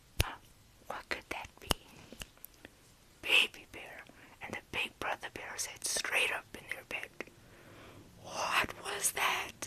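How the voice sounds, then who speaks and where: A woman whispers in a soothing tone at a very slow pace, with long, frequent pauses. Her loudness swings widely, and there is noticeable background noise. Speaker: ASMR creator roleplaying a mom. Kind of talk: whispered bedtime story reading. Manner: whispered, soft, soothing.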